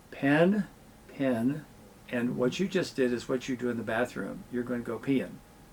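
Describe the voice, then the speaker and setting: A normal speaking voice from a man at medium pitch, with lively intonation and a moderate pace. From Southern Illinois, south of Mount Vernon. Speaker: communication professor and podcast host. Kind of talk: interview conversation.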